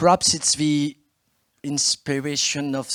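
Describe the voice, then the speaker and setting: A man's fairly high voice with a French accent, at a very slow pace, in a dry, close sound with no echo. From France. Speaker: politician, city mayor. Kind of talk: conference speech. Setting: stage with audience.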